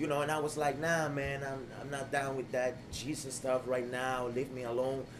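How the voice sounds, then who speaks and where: With a New York accent, the speech moves at a moderate pace with hardly any pauses over noticeable background noise. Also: man, medium pitch for a man. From US Northeast, the Bronx. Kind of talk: casual interview chat. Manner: animated.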